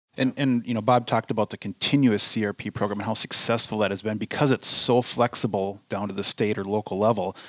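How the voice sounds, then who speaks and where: Very fast and with hardly any pauses, a man speaks in a Minnesotan accent at a fairly low pitch with fairly even intonation, the sound dry and close with no echo. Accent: Minnesota. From US Midwest. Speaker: conservation director. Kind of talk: casual interview chat. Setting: studio.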